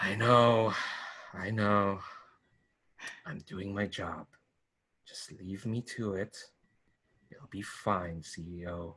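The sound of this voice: A man's gruff, fairly low put-on character voice, very slow with long, frequent pauses, big swings in loudness and fairly even intonation.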